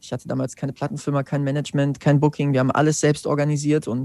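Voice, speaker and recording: Against a quiet background, a man with a fairly high pitch races along at a very fast pace in a flat monotone. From Germany, central Hesse (Wetzlar). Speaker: singer-songwriter. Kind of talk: interview.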